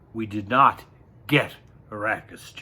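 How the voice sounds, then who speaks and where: Putting on a character voice, a man speaks at a medium pitch, sounding strained. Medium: read story. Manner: controlled, restrained.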